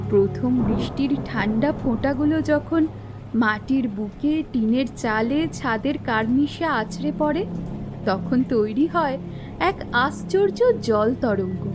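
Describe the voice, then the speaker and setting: A woman uses a soothing, calm tone with a fairly high pitch and lively intonation. Her loudness stays very even over noticeable background noise. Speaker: narrator. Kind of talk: poetic story narration.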